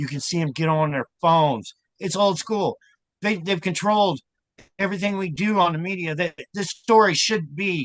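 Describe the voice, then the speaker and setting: A high-pitched man at a moderate pace, ordinary pitch variation, dry and close with no echo. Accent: American. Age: 60s. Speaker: self-proclaimed abuse survivor. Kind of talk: casual chat. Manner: animated.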